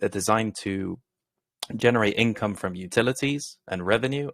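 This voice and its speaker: In a British accent, the speaker talks at a moderate pace with ordinary pitch variation, on a very clean recording with a silent background and a dry, close sound with no echo. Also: man. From Britain. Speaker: crypto project founder. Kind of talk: interview. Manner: professional.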